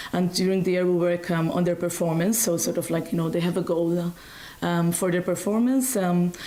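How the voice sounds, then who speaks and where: A woman with a Maltese accent speaks with fairly even intonation and very even loudness over noticeable background noise. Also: fairly low pitch for a woman, fairly quick pace. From Malta. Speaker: singing teacher. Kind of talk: interview. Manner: hesitant, many fillers.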